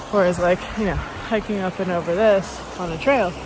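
A woman's voice with ordinary pitch variation, a dry sound with no echo, and noticeable background noise. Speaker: long-distance hiker vlogger. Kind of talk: casual vlog chat. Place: open country. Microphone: phone near.

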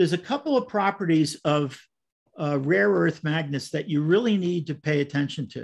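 A man's plain, everyday voice with an American accent, a fairly high pitch, lively intonation and a moderate pace over a quiet background. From US Northeast, Brooklyn. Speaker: model railroad clinic presenter. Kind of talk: presentation. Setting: video call. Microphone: video call.

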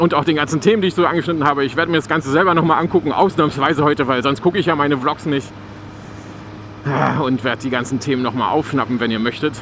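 A man's fairly high, fairly bright voice at a fast pace, with ordinary pitch variation and faint background noise.

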